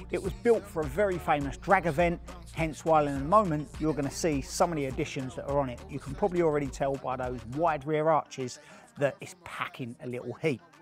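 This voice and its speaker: With faint music behind him, a man speaks at a fairly quick pace with ordinary pitch variation, the sound dry with no echo. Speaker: presenter. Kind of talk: casual vlog chat. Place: workshop. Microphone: lapel.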